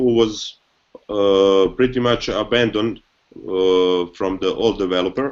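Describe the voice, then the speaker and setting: This man speaks with a non-native accent at a fairly slow pace. His pitch is fairly low, and his intonation is fairly even. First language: not English. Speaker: company co-founder. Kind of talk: live video hangout interview. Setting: video call. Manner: halting, repeats words.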